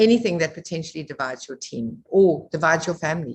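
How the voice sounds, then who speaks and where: The voice is somewhat breathy. It moves along at a moderate pace. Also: woman. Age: 60s. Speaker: network marketing leader. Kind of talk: online presentation.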